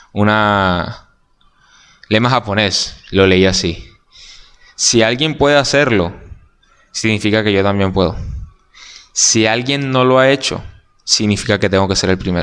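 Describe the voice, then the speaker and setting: At a fairly slow pace, a man with a fairly low pitch and ordinary pitch variation speaks with long, frequent pauses. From Colombia, Barranquilla. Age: 20s. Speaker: journalism student. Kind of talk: casual interview chat.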